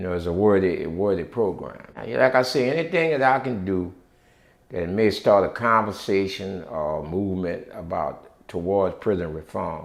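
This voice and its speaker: The speaker has a New Orleans accent and lively intonation. The pace is moderate. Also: man, fairly low pitch for a man. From New Orleans, Louisiana. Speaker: former prisoner and prison reform activist. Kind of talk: interview answer. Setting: at home.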